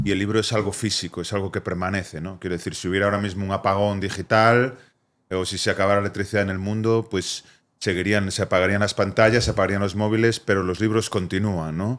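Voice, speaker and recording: On a very clean recording with a silent background, a man talks very fast in a fairly low, monotone voice with flat intonation. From Spain, Vigo. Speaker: poet, therapist, cultural activist. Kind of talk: podcast interview answer.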